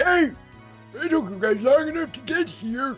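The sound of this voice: A man's put-on character voice at a moderate pace, with faint music in the background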